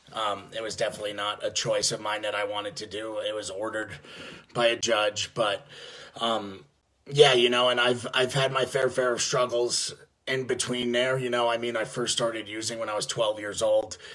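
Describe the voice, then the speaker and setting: In a New York accent, a man talks at a medium pitch with a bright, sharp tone and flat, monotone intonation. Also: moderate pace. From New York (Yonkers, near the Bronx). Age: 20s. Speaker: addiction treatment business development rep in recovery. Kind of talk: personal testimony. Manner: halting, many fillers and false starts.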